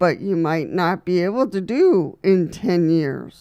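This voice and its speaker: On a very clean recording with a silent background, a woman with a dark, mellow tone speaks at a medium pitch and a very slow pace, using ordinary pitch variation. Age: 60s. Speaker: wheelchair user video host. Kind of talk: advice talk to camera. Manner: casual, with many fillers.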